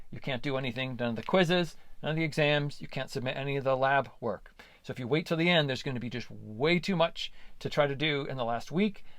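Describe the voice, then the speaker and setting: With audible room echo, a man talks at a very fast pace in a fairly high pitch with ordinary pitch variation. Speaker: college biology instructor. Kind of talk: course overview lecture. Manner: hesitant with many fillers.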